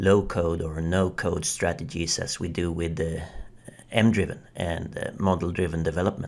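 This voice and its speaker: Someone with a non-native accent speaks at a fairly slow pace on a very clean recording with a silent background. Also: man. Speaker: software developer. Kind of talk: video review commentary.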